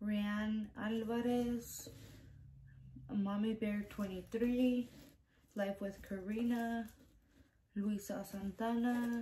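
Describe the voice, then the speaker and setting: Soft-spoken and fairly high in pitch, a woman talks at a very slow pace with monotone, flat intonation over light background noise. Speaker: YouTuber. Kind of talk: casual vlog, reading out giveaway entrants. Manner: soft-spoken, keeping quiet; hesitant, stumbling over names. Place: home room. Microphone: phone near.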